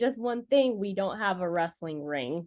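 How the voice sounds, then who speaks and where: A woman with a Californian accent talks with very wide pitch swings. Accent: Californian American. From Los Angeles, US. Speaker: professional wrestler. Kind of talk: interview.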